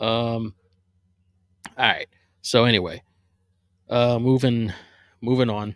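A man with an American accent at a medium pitch, very slow and monotone, with long, frequent pauses, a dry, close sound with no echo and a very clean recording with a silent background. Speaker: podcast host, Eagles fan. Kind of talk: casual solo podcast, sports talk. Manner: casual, rambling, self-deprecating.

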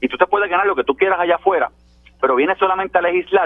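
This man's voice sits at a high pitch. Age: 50s. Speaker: legislator. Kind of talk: political panel discussion. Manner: animated.

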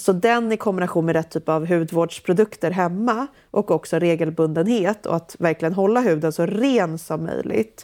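A woman's fairly low, dark and mellow voice at a moderate pace, with ordinary pitch variation and hardly any pauses. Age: 30s. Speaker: entrepreneur and author. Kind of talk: casual interview. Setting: remote call.

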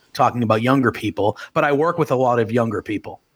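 A man speaks in an unremarkable speaking voice at a medium pitch, with ordinary pitch variation. The recording is very clean, with a silent background. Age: 30s. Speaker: wrestling podcaster. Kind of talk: casual chat.

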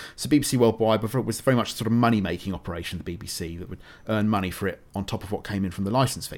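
A man with a British accent talks at a very fast pace with hardly any pauses, his fairly low pitch moving with ordinary variation while his loudness swings widely. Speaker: writer and radio producer. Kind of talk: interview.

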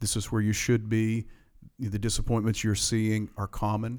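At a moderate pace, a man with a fairly low voice speaks in a very clean recording with a silent background. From Appalachian Virginia (Grundy). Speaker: pastor. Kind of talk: interview conversation.

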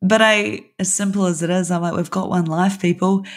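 Here a woman speaks with a New Zealand accent at a fairly low pitch. She talks at a fairly quick pace on a very clean recording with a silent background. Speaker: design studio owner. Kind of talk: interview conversation.

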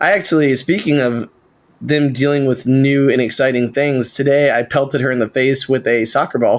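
This man has a normal speaking voice at a medium pitch, with fairly even intonation. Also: moderate pace. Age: 30s. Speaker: podcast co-host. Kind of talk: casual chat.

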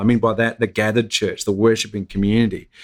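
A very fast man with an Australian accent and medium pitch, on a very clean recording with a silent background. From Australia, Gold Coast. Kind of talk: interview. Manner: halting, many fillers.

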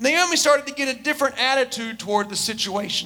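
Against noticeable background noise, a man projects a raised voice at an extremely high pitch, with ordinary pitch variation. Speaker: preacher. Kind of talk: sermon. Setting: church.

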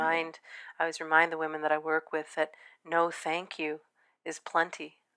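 A woman speaks in a low pitch with monotone, flat intonation. Her tone is clear and smooth, yet also bright and sharp. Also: moderate pace.

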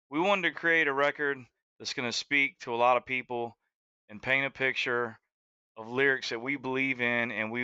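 A man's bright, sharp, medium-pitched voice with a Southern US accent and fairly even intonation, dry and close with no echo, over a quiet background. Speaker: country singer and entrepreneur. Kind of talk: radio interview, casual chat.

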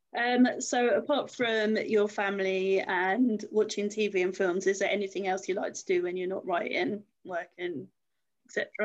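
A woman with a plain, everyday voice speaks fairly slowly at a medium pitch, with ordinary pitch variation. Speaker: interviewer. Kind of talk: casual interview chat.

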